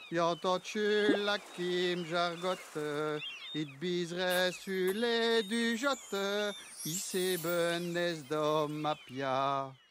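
A man with a high pitch speaks at a very slow pace, in a playful tone with ordinary pitch variation. Noticeable background noise runs underneath. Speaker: actor and storyteller. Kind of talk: humorous narration.

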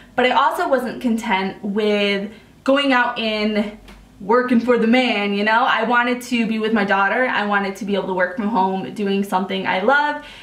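Over noticeable background noise, a woman with an American accent speaks at a moderate pace, her fairly high pitch showing ordinary variation. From Upstate New York. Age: 20s. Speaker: makeup artist. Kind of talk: voice-over narration of a makeup video. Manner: casual, chatty.

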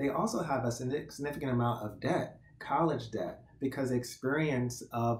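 Audible room echo surrounds the voice. A man speaks at a moderate pace. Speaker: podcast guest. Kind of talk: interview answer. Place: home room. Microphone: webcam.

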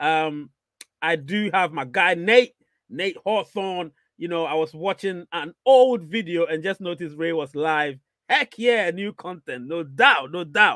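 In a dry recording with no echo and a quiet background, a man speaks at a fairly slow pace with a bright, sharp tone and ordinary pitch variation. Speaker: live stream host. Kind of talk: casual livestream chat, reading viewer comments. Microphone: studio mic.

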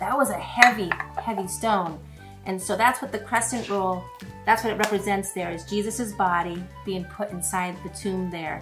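Clear music sounds behind the speech. The woman's pace is moderate. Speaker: presenter. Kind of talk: cooking demo with Bible lesson for kids. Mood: warm, encouraging. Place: kitchen.

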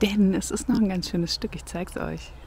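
The speech comes at a moderate pace. The sound is dry with no echo, and there is light background noise. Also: woman. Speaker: travel vlogger. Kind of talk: casual vlog chat. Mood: cheerful, relaxed. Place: open country. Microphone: phone near.

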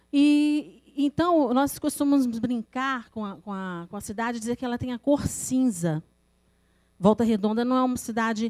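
Against a quiet background, a woman with a dark, mellow tone and fairly high pitch talks at a fairly slow pace, with ordinary pitch variation and big swings in loudness. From Rio de Janeiro state, Brazil. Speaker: poet. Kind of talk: presentation. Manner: halting, repeats words. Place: meeting room. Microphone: podium.

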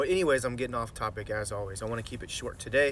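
A man speaks at a very fast pace. The sound is dry with no echo, and there is light background noise. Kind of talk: casual vlog chat. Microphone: phone near.

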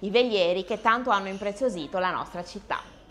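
A woman with lively intonation. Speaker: co-host and singer. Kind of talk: presenting. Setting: bar.

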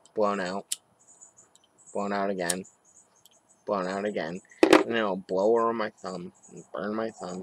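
Light background noise accompanies a man's fairly low voice as he speaks at a fairly slow pace with fairly even intonation, in a dry sound with no echo. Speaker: hobby reviewer. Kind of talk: casual product review vlog. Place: street. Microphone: webcam.

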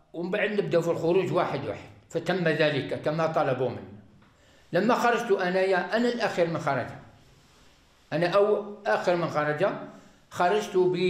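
Audible room echo surrounds a man who speaks slowly-ish, at a fairly slow pace, with a high pitch and ordinary pitch variation. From Algeria. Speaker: arrested militant giving confession. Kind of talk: recorded confession. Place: home room. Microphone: lapel.

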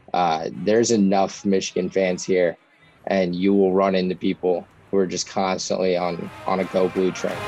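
Faint music plays in the background as a man speaks at a moderate pace in a very deep, low pitch. His intonation is monotone and flat, and the sound is dry with no echo. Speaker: interviewee. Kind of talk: interview answer. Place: home room. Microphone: webcam.

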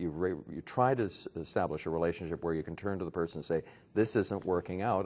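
A man with a Canadian accent, very deep and low in pitch, at a very fast pace. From Canada, Toronto. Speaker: neurology professor. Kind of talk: interview. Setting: medical conference. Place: hall.

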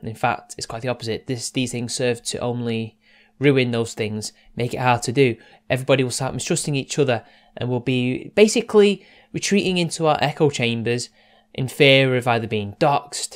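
Against a quiet background, a man talks at a moderate pace. His pitch varies an ordinary amount. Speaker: online commentator. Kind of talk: casual commentary monologue. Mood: serious, measured. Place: home room.

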